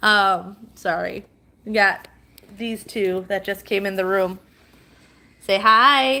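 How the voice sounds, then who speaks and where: Loud and bright with a sharp tone, a woman speaks at a medium pitch with ordinary pitch variation. She goes at a very slow pace, with long, frequent pauses. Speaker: livestreamer and mom. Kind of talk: casual live stream chat. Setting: at home live stream.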